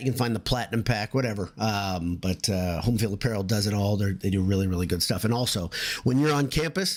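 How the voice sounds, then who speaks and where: Fairly low-pitched male voice with ordinary pitch variation, over noticeable background noise. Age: 50s. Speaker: sports podcast host. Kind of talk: casual chat. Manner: loud; halting.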